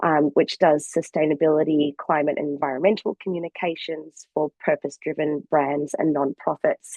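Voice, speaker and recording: A woman with an Australian accent speaks at a moderate pace with hardly any pauses. Her pitch is very deep and low, and her intonation is flat and monotone. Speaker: sustainability communications consultant. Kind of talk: webinar presentation.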